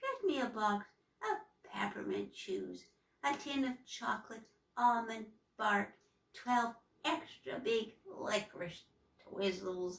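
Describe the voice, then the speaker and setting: A woman's put-on character voice, fairly high and raspy, with long, frequent pauses. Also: fairly slow pace. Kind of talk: bedtime story. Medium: read story. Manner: secretive, menacing.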